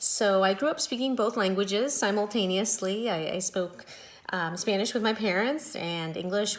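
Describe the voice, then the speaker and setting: In an ordinary speaking voice, a woman talks at a moderate pace with a medium pitch and ordinary pitch variation. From US West, Las Vegas, Mexican-American family. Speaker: high school Spanish teacher. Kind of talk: back-to-school night talk to parents. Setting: video call.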